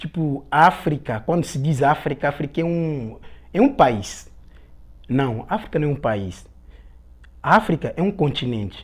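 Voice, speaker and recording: An Angolan accent at a fairly slow pace, with long, frequent pauses. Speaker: guest from Angola. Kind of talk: casual interview.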